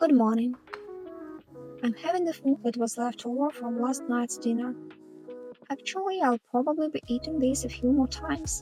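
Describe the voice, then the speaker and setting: A woman with a Russian accent speaks at a high pitch and moderate pace. Her pitch varies in an ordinary way, with music in the background. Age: 30s. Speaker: sewing factory worker. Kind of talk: personal vlog narration.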